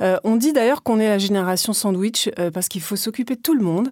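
With an unremarkable speaking voice, the speaker moves at a fairly quick pace on a very clean recording with a silent background. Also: woman. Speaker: podcast host interviewer. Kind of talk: interview.

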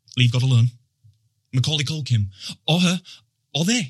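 His tone is bright and sharp. The man speaks with lively intonation. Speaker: spoken word poet. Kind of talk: poetry performance. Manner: loud; jittery rhythmic delivery.

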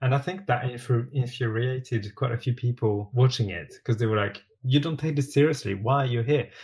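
Against a quiet background, a man with a French accent speaks at a fairly quick pace in a somewhat breathy voice. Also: medium pitch for a man, ordinary pitch variation. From France. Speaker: TV sewing competition contestant. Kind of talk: casual chat.

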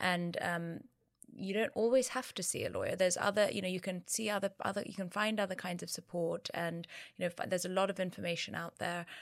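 A woman at a very fast pace, medium in pitch, with fairly even intonation, on a very clean recording with a silent background. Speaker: co-founder of a divorce support platform. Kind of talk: interview. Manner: halting, many fillers.

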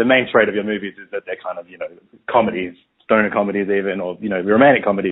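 A man speaks with fairly even intonation. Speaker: interviewer. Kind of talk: casual interview. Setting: phone call.

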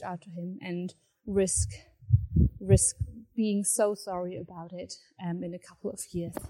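A woman with a dark, mellow tone speaks at medium pitch and a fairly slow pace, her intonation fairly even. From Germany. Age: 20s. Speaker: listener with a question. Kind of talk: recorded voice message. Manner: halting.

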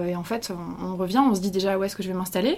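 Over noticeable background noise, a woman speaks at a medium pitch with ordinary pitch variation. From France. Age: 20s. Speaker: journalist. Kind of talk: interview. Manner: hesitant.

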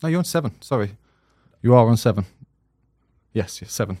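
A man with a South London accent, medium pitch and a dark, mellow tone, on a very clean recording with a silent background. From South London, England. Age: 30s. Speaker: podcast host, goalkeeper. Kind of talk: casual chat.

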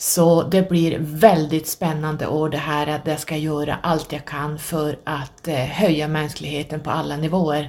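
The speaker is a woman with a very deep, low voice. She talks at a fairly slow pace in a monotone, flat intonation. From northern Sweden. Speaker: podcast host. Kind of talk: solo monologue.

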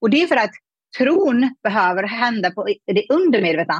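A woman's somewhat breathy voice moves through very wide pitch swings. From Afghanistan. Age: 30s. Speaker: money mindset coach. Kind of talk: interview conversation.

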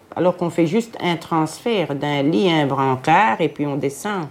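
A woman speaks at a fairly slow pace with a very deep, low pitch. Her intonation is lively. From Brussels, Belgium (Jette). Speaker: hospital porter, former care assistant. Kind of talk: testimony.

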